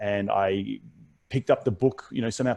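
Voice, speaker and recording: A man with an Australian accent, medium in pitch, in a dry, close sound with no echo. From Australia, Brisbane. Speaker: real estate investor. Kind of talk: podcast interview. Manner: many fillers and repetitions.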